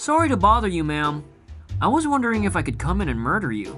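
A put-on character voice with a bright, sharp tone and very wide pitch swings. It moves at a fairly quick pace over faint background music. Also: man, high pitch for a man.

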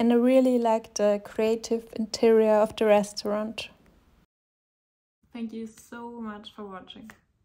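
Speaking with a non-native accent, a woman with a fairly high pitch goes at a fairly slow pace in a flat monotone, taking long, frequent pauses as her loudness swings widely. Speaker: food vlogger. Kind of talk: casual food vlog narration.

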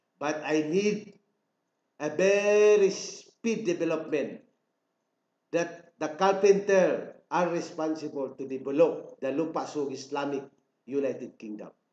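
Audible room echo surrounds a man speaking at a very slow pace with a fairly high pitch and ordinary pitch variation. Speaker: self-proclaimed royal claimant. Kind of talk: political proclamation. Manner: formal. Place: home room. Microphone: webcam.

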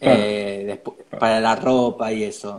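This man speaks with a Rioplatense accent. His pace is fairly slow. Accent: Argentine Rioplatense Spanish. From Argentina. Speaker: interview host. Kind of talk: casual interview. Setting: live video stream. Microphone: earbuds.

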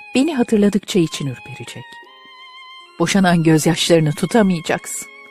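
With music in the background, a woman talks at a moderate pace in a fairly low pitch that swings very widely. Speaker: amateur audiobook and poetry reader. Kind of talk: poetry reading with background music. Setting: home studio.

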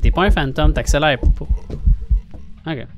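A man talks over light background noise. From Quebec. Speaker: gaming streamer. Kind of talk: casual gameplay chat. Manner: animated. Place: home room. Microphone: studio mic.

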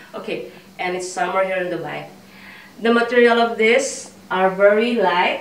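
At a moderate pace and medium pitch, a woman talks with audible room echo. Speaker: fashion vlogger. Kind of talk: try-on haul. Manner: animated, laughs often. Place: home room. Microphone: camera far.

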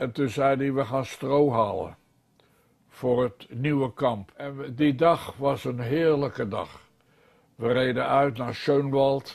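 This man talks at a very slow pace with fairly even intonation. The background is quiet. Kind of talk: interview answer. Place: home room.

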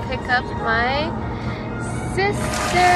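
A woman's voice, dry with no echo, against loud music in the background. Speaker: vlogger. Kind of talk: casual vlog chat. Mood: excited, smiling. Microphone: phone near.

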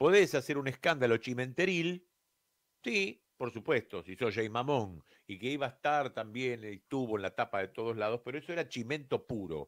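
This man speaks at a moderate pace and a medium pitch. His intonation is lively, and the background is quiet. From Argentina. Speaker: radio host and broadcasting teacher; radio show host. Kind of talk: radio monologue. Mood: relaxed, wry. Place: studio. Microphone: studio mic.

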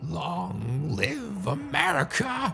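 A squeaky, put-on character voice comes through over clear background noise. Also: man, medium pitch for a man. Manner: creepy.

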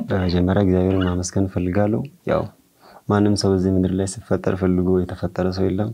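In a dark, mellow tone, a man speaks with very deep, low pitch, monotone, flat intonation and very even loudness. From Arba Minch, southern Ethiopia; Ethiopia. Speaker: guitar maker and church musician; guest. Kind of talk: interview. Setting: studio. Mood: calm, friendly. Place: studio.

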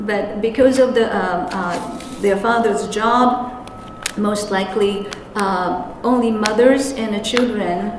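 Noticeable background noise and audible room echo fill the recording. A woman talks at a fairly slow pace. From Japan. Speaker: interpreter and anti-nuclear activist. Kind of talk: conference presentation. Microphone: handheld.

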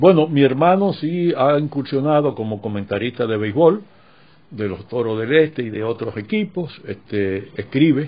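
Moving at a moderate pace, a man with a medium pitch makes very wide pitch swings. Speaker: radio announcer and baseball broadcaster. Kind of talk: interview answer.

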